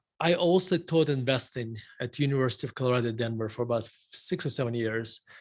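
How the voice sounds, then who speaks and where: A man with a Russian accent at a fairly quick pace, ordinary pitch variation, over a quiet background. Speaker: value investor, fund manager. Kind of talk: interview. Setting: live stream interview.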